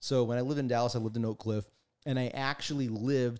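A man with an unremarkable speaking voice talks at a fairly quick pace, medium in pitch with ordinary pitch variation. The recording is very clean, with a silent background. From Mexican-American background. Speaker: guest, marketing creative and conspiracy enthusiast. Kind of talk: casual chat.

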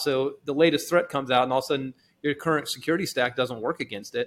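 In an American accent, a man talks at a very fast pace with a fairly high pitch. The recording is very clean, the background silent. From Texas. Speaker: cybersecurity company executive. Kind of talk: casual podcast interview.

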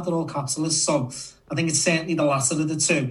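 A man speaks with a Liverpool accent at a fairly high pitch. His intonation is monotone and flat. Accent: Scouse. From Liverpool, England. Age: 30s. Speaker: podcast co-host and horse racing tipster. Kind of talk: casual chat.

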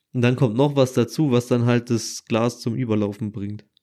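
Heard in a very clean recording with a silent background, a man with an unremarkable speaking voice and a medium pitch talks at a moderate pace with fairly even intonation. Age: 20s. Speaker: podcast co-host. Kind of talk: casual chat.

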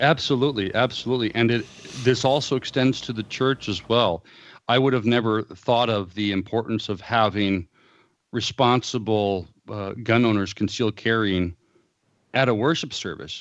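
A man with an American accent has a normal speaking voice at a medium pitch. He talks at a moderate pace with ordinary pitch variation against a quiet background. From US West Coast, Southern California (Los Angeles, San Fernando Valley). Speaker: pastor. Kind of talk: interview.

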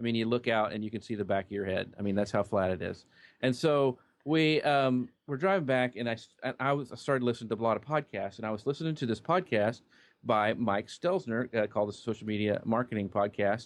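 A man with an American accent speaks at a fairly quick pace, his pitch medium and its variation ordinary. It's a normal speaking voice, recorded very cleanly against a silent background. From Kansas, small town. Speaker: social media marketer. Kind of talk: interview.

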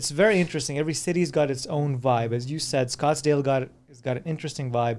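On a very clean recording with a silent background, a man has an unremarkable speaking voice, a fairly high pitch and ordinary pitch variation. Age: 40s. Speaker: anti-aging expert. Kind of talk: casual chat. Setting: studio.

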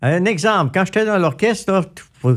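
On a very clean recording with a silent background, a man speaks with lively intonation and a somewhat breathy voice. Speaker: radio host and musician. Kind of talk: casual interview. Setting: studio.

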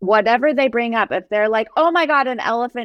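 This woman has an ordinary speaking voice, fairly high in pitch, with an American accent. Her pitch varies in an ordinary way. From US, New Jersey. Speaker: folk musician and violinist. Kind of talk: casual interview conversation.

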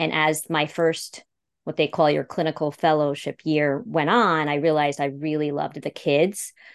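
In an upstate New York accent, a woman speaks at a moderate pace with a very deep, low pitch against a quiet background. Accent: upstate New York American. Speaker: speech-language pathologist and podcast producer. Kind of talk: interview.

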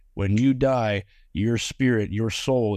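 A man's medium-pitched voice, fairly slow and fairly even in intonation, over a quiet background. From Georgia, US South. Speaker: former film extra. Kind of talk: testimony. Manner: halting.

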